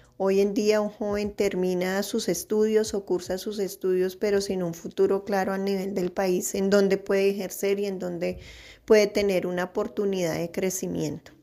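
Very clean, with a silent background, the recording captures a woman of medium pitch in a dark, mellow tone. She speaks in a flat monotone at a moderate pace. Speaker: office worker and mother. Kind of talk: interview.

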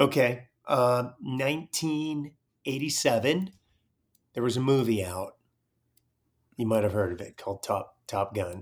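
Speaking at a fairly slow pace with long, frequent pauses, a man uses lively intonation at a medium pitch in a very clean recording with a silent background. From Northern California Bay Area. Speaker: retired Navy SEAL officer. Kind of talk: casual interview.

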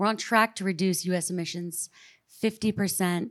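In a very clean recording with a silent background, a woman speaks at a moderate pace. She has an ordinary speaking voice at medium pitch with fairly even intonation. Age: 30s. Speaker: ski mountaineer and activist. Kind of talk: panel discussion. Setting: stage with audience.

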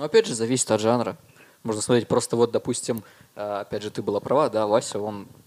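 This is a plain, everyday voice. The intonation is fairly even. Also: man. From Russia, Murmansk and Dimitrovgrad. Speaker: musician and concert organizer. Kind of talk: casual chat.

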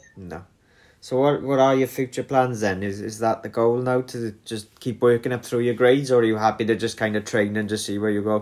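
A man with a northern English accent speaks at a fairly quick pace in a medium pitch, his intonation fairly even. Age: 30s. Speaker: podcast host and martial arts instructor. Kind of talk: casual interview.

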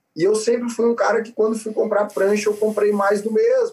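The speaker is a man with a high pitch. He uses ordinary pitch variation. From southern Brazil (Florianópolis, then Rio Grande do Sul). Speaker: surf startup founder. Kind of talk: casual interview.

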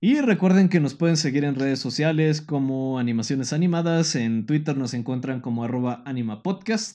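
A man's dark, mellow voice, fairly high in pitch, with a Mexican accent, moderate pace and ordinary pitch variation. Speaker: podcast host. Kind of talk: scripted narration; casual chat. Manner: halting.

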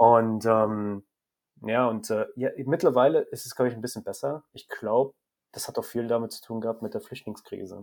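At a moderate pace, a man talks in a medium pitch. His intonation stays fairly even. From Germany, Rhineland-Palatinate (rural). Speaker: photographer. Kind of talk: interview. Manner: halting, many repetitions and fillers.

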